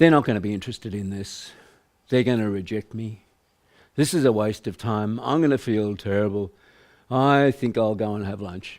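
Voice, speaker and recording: A man puts on a whiny character voice at a fairly low pitch. He speaks at a moderate pace in a very clean recording with a silent background. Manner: dejected, whiny, negative.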